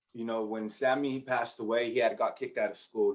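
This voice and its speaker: Talking at a very fast pace, a man keeps a monotone, flat intonation. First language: Spanish. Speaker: education researcher and teacher-preparation coordinator. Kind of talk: conference presentation with personal testimony.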